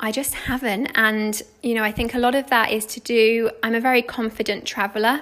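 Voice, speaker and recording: This voice has a British accent and a monotone, flat intonation. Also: woman. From UK. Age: 20s. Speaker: travel blogger. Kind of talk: interview.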